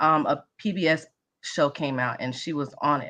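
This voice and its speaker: A woman talks in a Mississippi accent. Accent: Mississippi country. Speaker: interviewee in documentary episode. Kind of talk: panel discussion at screening event. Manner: enthusiastic.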